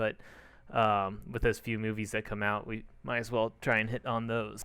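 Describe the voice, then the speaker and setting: A medium-pitched man speaks at a moderate pace in a monotone, flat intonation, on a very clean recording with a silent background. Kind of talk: casual podcast talk.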